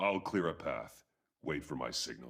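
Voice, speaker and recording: A man talks in a put-on character voice. He keeps a moderate pace. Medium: video game. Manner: terse, clipped commands.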